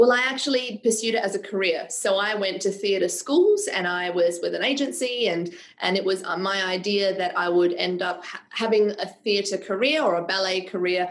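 Over noticeable background noise, a woman talks with hardly any pauses and ordinary pitch variation. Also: medium pitch for a woman, moderate pace. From Serbia. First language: Serbian. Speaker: public speaking coach and performer. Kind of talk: interview conversation.

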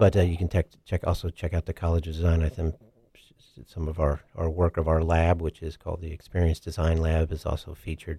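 An American-accented man speaks with a very deep, low pitch and a dark, mellow, somewhat breathy tone. His intonation is monotone and flat, and the sound is dry and close with no echo. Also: fairly quick pace, very clean recording, silent background. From Kansas City. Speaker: art and design professor. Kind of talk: radio interview. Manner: halting, many fillers.

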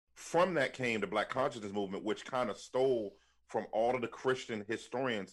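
A man's normal speaking voice at a medium pitch, with an American accent, ordinary pitch variation and a fairly quick pace. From Washington, D.C. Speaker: pastor and author. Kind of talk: podcast interview.

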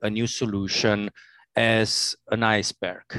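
Speaking with a non-native accent, a man with a medium-pitched voice is heard in a dry, close recording with no echo and a quiet background. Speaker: corporate operations executive. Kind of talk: interview. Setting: remote recording. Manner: halting, many fillers.

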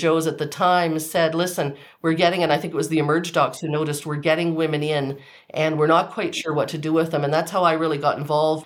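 A woman with a very deep, low pitch at a very fast pace. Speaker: family physician. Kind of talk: interview answers.

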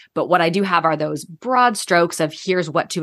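A woman with a normal speaking voice, fairly low in pitch, at a fairly quick pace with ordinary pitch variation. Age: 30s. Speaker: interior designer. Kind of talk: casual chat.

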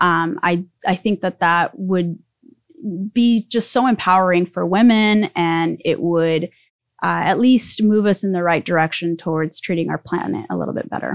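A woman with a normal speaking voice talks at a moderate pace, her fairly low pitch moving with ordinary variation, in a dry, close recording with no echo and a quiet background. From Mexico City, moved to Southern California at seven. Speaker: startup executive. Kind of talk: interview.

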